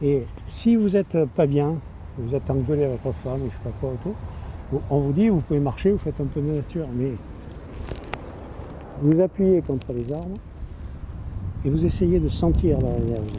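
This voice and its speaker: A man with a fairly high pitch speaks with very wide pitch swings and long, frequent pauses over noticeable background noise. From Nîmes area, southern France. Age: 70s. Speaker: ecologist election candidate. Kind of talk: interview answer. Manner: casual, relaxed.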